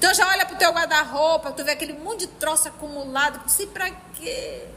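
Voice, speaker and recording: A woman speaks in a raised, projected voice at an extremely high pitch, with an animated tone, lively intonation and big swings in loudness. Her pace is fairly quick, and there is noticeable background noise. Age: 50s. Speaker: spiritist study group leader. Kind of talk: religious study lecture.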